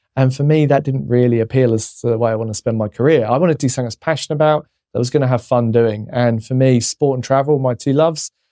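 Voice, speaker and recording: A man speaks very fast with hardly any pauses, in a dark, mellow tone at a medium pitch. His intonation is fairly even, and the sound is dry and close with no echo. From England. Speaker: travel company CEO. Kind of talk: interview conversation. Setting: studio.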